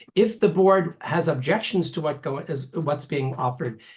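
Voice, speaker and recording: This man's voice sits fairly high in pitch and sounds somewhat breathy. His pitch varies in an ordinary way. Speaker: ballot measure proponent. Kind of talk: endorsement interview answers. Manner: fast.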